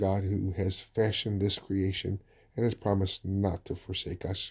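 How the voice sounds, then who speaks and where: On a very clean recording with a silent background, a man speaks at a moderate pace with a very deep, low pitch. His tone is dark, mellow and somewhat breathy, with monotone, flat intonation. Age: 60s. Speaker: pastor. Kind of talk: sermon.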